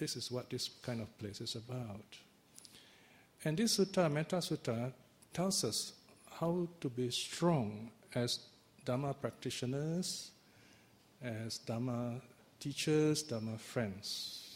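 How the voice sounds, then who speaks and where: Somewhat breathy, a man with a medium pitch and lively intonation speaks at a very slow pace with long, frequent pauses. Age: 60s. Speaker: Buddhist teacher. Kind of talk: dharma talk.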